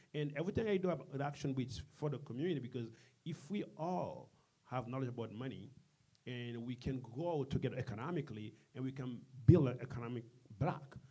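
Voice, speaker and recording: At a fairly quick pace, a man speaks in a medium pitch with ordinary pitch variation, his tone dark and mellow and somewhat breathy. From Haiti. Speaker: community business leader. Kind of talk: interview. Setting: studio with live audience.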